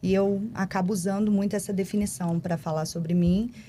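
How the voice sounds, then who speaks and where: A somewhat breathy woman with a dark, mellow tone, ordinary pitch variation, and a rural Brazilian accent. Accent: noticeable countryside Brazilian. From Brazilian countryside. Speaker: corporate responsibility staff, podcast guest. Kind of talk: podcast interview.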